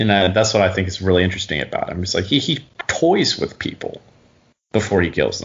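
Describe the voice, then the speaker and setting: A man talks at a fairly quick pace in an American accent. His voice is fairly low and somewhat breathy. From US South, Huntsville Alabama. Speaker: actor. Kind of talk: interview.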